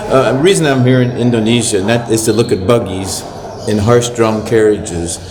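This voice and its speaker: Against noticeable background noise and audible room echo, a man with an American accent speaks at a medium pitch, with ordinary pitch variation and very even loudness. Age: 70s. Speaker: missionary priest. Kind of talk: casual talk to camera. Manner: halting.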